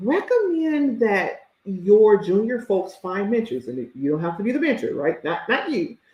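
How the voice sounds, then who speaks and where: A woman with an American accent sounds animated, her medium pitch swinging very widely. She speaks at a fairly slow pace. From US South. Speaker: career coach. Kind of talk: live stream talk.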